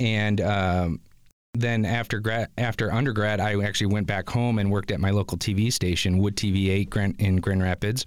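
In a very clean recording with a silent background, a man with a plain, everyday voice talks at a moderate pace, fairly low in pitch, with fairly even intonation and very even loudness. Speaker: media production supervisor and instructor. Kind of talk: interview chat. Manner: friendly, conversational with fillers.

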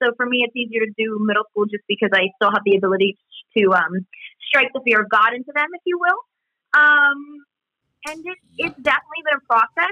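Very fast, high-pitched speech from a woman in an American accent, with very wide pitch swings, big swings in loudness and long, frequent pauses. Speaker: musical theatre performer and substitute teacher. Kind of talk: casual interview.

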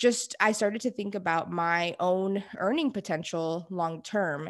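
A woman with an American accent speaks at a moderate pace and medium pitch with ordinary pitch variation. Hers is an unremarkable speaking voice, set against a quiet background. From Houston, Texas. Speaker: management consultant. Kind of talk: interview.

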